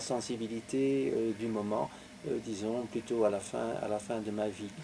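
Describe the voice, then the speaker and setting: A man with a Belgian accent at a very slow pace. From Belgium, Belgian Lorraine. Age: 70s. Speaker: author. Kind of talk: interview. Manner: halting, many hesitations.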